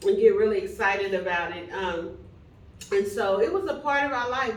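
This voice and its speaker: With a Texan accent, a woman talks at a moderate pace and fairly high pitch, with ordinary pitch variation, amid noticeable background noise. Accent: Texan Southern American English. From Plano, Texas. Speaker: minister and bishop. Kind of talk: interview answer.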